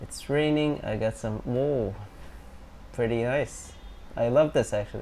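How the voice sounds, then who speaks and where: In a non-native accent, the speaker moves at a fairly slow pace with long, frequent pauses. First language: not English. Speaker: streamer. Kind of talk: casual chat. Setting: live stream. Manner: halting.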